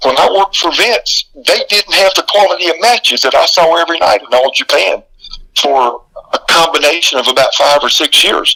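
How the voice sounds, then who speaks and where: A man's voice sounds dry and close, with no echo, and stays very even in loudness. Noticeable background noise sits behind it. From US South, South Carolina. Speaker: retired pro wrestler. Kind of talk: interview.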